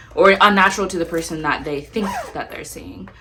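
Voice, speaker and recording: A woman's bright, sharp tone with vocal fry. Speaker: lifestyle vlogger and poet. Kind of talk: casual Q&A vlog. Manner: soft-spoken; quiet at times.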